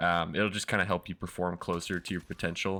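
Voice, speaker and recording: A man with a very deep, low pitch and a bright, sharp tone is heard on a very clean recording with a silent background. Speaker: gaming tutorial youtuber. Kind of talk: tutorial. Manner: casual, with filler words.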